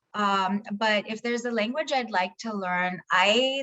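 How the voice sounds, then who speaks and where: A woman with a Tamil accent, fairly high in pitch, with lively intonation. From India (Hyderabad). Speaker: keynote speaker, logistics analyst. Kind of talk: Q&A session.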